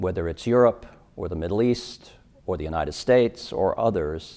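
A man's dark, mellow voice at a moderate pace, with ordinary pitch variation. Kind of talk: interview answer. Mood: measured, earnest. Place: hall. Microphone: lapel.

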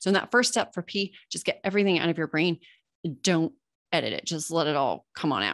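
In a Californian accent, a woman with a fairly low pitch talks at a very fast pace in an animated tone, with ordinary pitch variation, a quiet background and a dry sound with no echo. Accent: Californian American English. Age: 40. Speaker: copywriting coach and podcaster; copywriting coach, podcaster. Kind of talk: webinar presentation. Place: home room. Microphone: webcam.

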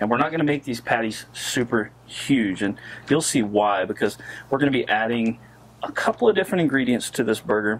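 Here a man talks at a fairly quick pace. His pitch varies in an ordinary way. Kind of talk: cooking tutorial. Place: garden.

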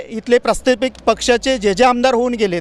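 A man speaks at a high pitch, with a dry, close sound and no echo. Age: young. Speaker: party worker. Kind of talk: interview.

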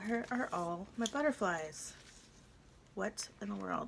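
A woman's voice with vocal fry over light background noise. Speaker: crafting YouTuber. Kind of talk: casual craft tutorial vlog. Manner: chatty, thinking aloud. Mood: relaxed, chatty. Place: home room.

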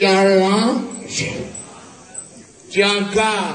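A man does a put-on character voice at a very slow pace, high-pitched for a man with a fairly bright tone and little pitch movement, all under strong room echo.

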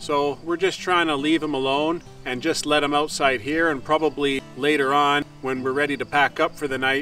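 A man's monotone, flat voice at a moderate pace with hardly any pauses, dry sound with no echo and faint music in the background. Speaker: farm vlogger. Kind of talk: casual vlog chat. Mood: calm, caring. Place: open country. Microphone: camera far.

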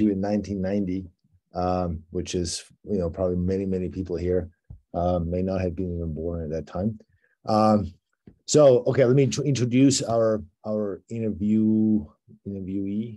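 A man speaks in a very deep, low voice with a dark, mellow tone. His pace is moderate, his pitch variation ordinary, and the background quiet. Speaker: interviewer. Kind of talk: interview introduction. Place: home room. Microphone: video call.

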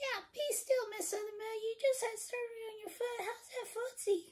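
A female-sounding cartoonish character voice is pitched extremely high. It moves at a moderate pace. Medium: puppet. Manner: animated, ranting.

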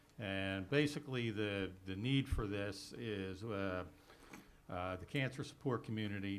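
This man has a fairly low pitch. He speaks at a moderate pace. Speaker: applicant representative. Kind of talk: public meeting presentation. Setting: township board meeting room. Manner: loud.

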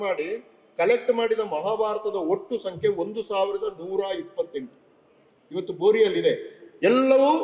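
Pitched extremely high, a man speaks with lively intonation. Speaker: public official and literary speaker. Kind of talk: speech at a book launch.

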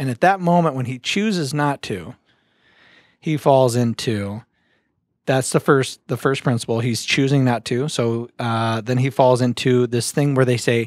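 Over a quiet background, a man speaks at a fairly slow pace with ordinary pitch variation, the sound dry with no echo. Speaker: podcast host. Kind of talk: podcast conversation, explaining a book. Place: studio. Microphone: studio mic.

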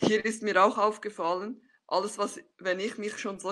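The woman has a bright, sharp tone and a fairly slow pace. The background is quiet. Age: 30s. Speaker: scrum master and agile coach; agile coach. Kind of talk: conference talk. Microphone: webcam.

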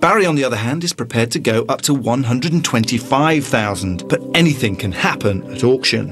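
Lively intonation at a fairly quick pace, hardly any pauses, over music in the background. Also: man, medium pitch for a man. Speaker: TV show narrator. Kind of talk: television property-show narration.

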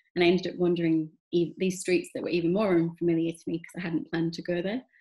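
A woman with a Yorkshire accent has a fairly low, somewhat breathy voice with a dark, mellow tone and fairly even intonation. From northern England, Huddersfield. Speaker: photographer. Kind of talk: interview. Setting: video call.

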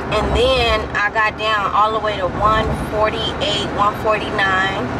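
Loud background noise sits behind a woman's dry voice with no echo as she talks very slowly. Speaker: vlogger. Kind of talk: casual vlog chat. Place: car. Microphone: phone near.

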